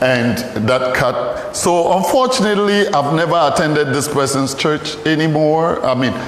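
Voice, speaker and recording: With a Ghanaian accent, a man with a fairly high pitch and lively intonation talks at a moderate pace with very even loudness, amid noticeable background noise and audible room echo. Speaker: pastor and archaeologist. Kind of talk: lecture.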